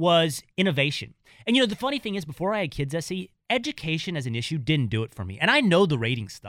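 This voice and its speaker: A man's fairly high voice with an American accent at a very fast pace, with very wide pitch swings, on a very clean recording with a silent background. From Texas (small town). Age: 30s. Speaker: radio host. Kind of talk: casual chat.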